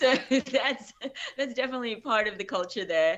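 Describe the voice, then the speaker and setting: An Australian accent comes through. The voice is a woman's. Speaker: actress. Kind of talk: interview. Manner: hesitant.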